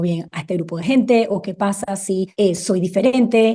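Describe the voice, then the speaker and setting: Its tone is dark and mellow. The pitch rises and falls by a normal amount. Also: woman. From Panama, raised across Latin America. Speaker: educator, podcast guest. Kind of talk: interview conversation.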